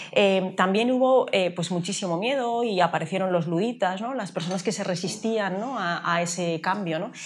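A woman at a moderate pace, ordinary pitch variation, hardly any pauses, and light background noise. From Galicia, Spain (A Coruña); Galicia, Spain. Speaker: artificial intelligence expert; interviewee. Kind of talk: interview. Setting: café. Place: cafe. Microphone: lapel.

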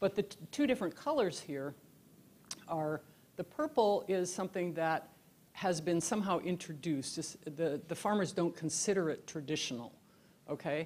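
In a normal speaking voice, a woman talks at a fairly low pitch and a moderate pace with ordinary pitch variation. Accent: American. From US Pacific Northwest and Alaska. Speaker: keynote lecturer. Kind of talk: lecture. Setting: lecture hall with live audience. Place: hall. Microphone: handheld.

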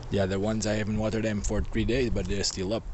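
Talking at a very fast pace, a man with a very deep, low voice keeps his intonation fairly even, the sound dry with no echo and light background noise behind him. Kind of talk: casual vlog chat. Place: garden. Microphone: phone near.

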